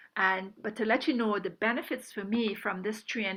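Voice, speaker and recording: Speaking fairly quickly, a woman has an ordinary speaking voice at medium pitch. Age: 60s. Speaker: retired nurse, supplement distributor. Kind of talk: testimony and product presentation.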